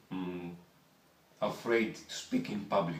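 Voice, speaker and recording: Heard with audible room echo, a man with a Greek accent talks in a fairly low pitch with ordinary pitch variation. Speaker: voice therapy patient. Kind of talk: interview. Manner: halting.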